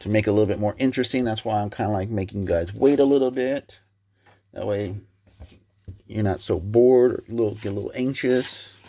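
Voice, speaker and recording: Quiet and medium in pitch, a man's voice carries a dark, mellow tone. His intonation stays fairly even. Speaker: sports card collector YouTuber. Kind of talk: casual box-break commentary. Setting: at home at night, family sleeping. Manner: quiet, subdued; dull, stumbling on names.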